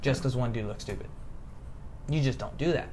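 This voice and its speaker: A man with an American accent speaks in an animated tone. Audible room echo surrounds his voice. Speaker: political commentary podcast host. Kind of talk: casual political discussion. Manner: occasional stutter; animated, emphatic.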